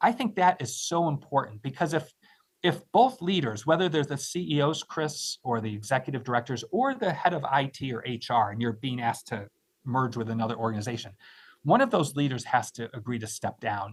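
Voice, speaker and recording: Somewhat breathy and fairly quick, a man talks at a medium pitch with lively intonation. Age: 60s. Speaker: nonprofit finance expert and college leader. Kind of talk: live webinar interview. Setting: live online stream.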